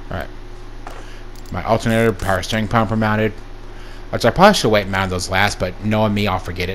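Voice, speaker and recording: A man with a fairly low pitch, monotone and flat, talking at a very fast pace with long, frequent pauses over noticeable background noise. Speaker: gaming YouTuber. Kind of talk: gameplay commentary. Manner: casual.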